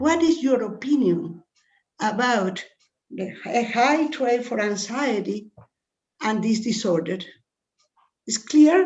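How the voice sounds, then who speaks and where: Lively in intonation, a woman with a Spanish accent speaks at a fairly high pitch. Her pace is very slow, with long, frequent pauses. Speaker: scientist asking question. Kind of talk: audience question. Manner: halting.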